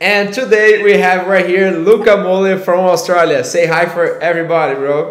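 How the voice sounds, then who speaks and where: With a Portuguese accent, a man speaks at a moderate pace with hardly any pauses, his high voice showing ordinary pitch variation, over noticeable background noise and audible room echo. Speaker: podcast host, agency CEO. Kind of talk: casual interview. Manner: halting.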